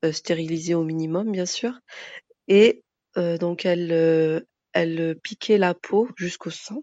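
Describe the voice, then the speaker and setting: Very slow speech with ordinary pitch variation, dry and close with no echo, over a quiet background. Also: woman. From France, Moroccan Berber family. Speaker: interview guest. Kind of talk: interview. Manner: hesitant, many fillers.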